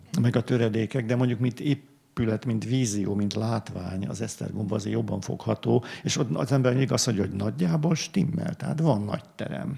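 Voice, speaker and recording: At a fairly quick pace, a man talks with lively intonation, medium pitch and vocal fry. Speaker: art historian, book author. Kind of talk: panel discussion. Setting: library event with audience. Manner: halting, many fillers.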